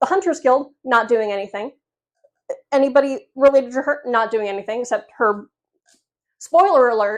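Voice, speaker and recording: The speaker talks at a moderate pace with lively intonation and an animated tone, leaving long, frequent pauses. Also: woman, high pitch for a woman. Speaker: book reviewer. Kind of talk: rant review.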